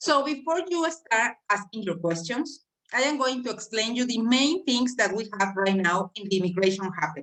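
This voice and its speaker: A woman with a Mexican accent speaks at a fairly high pitch, her voice making very wide pitch swings. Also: moderate pace. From Mexico. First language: Spanish. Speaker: immigration specialist. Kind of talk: presentation on a video call.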